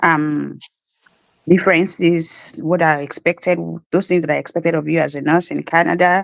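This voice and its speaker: A woman's monotone, flat delivery in a Nigerian accent, with a dry, close sound and no echo. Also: fairly low pitch for a woman, moderate pace. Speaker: nurse. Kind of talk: interview.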